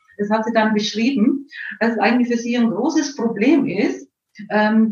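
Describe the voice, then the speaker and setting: There is audible room echo around a woman whose voice sits fairly high in pitch. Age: 60s. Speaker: homeopath and psychologist. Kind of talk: interview. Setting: live video stream.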